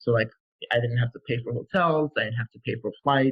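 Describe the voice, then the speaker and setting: In a New York accent, a man with a medium pitch and a somewhat breathy voice talks at a fairly quick pace. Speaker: physician assistant student. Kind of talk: interview. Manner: halting.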